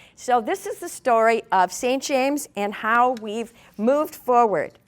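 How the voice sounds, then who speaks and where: A high-pitched woman with an Upper Midwest accent, lively intonation and a fairly slow pace. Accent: Upper Midwest (Minnesota). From southern Minnesota, Martin County. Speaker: community leader. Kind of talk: presentation to an audience.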